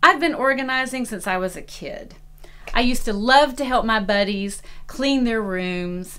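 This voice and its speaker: Speaking at a moderate pace with a Southern US accent, a woman has a high pitch, and audible room echo fills the recording. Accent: Southern US (Georgia). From US South, Atlanta, Georgia. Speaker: professional organizer. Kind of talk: promotional self-introduction.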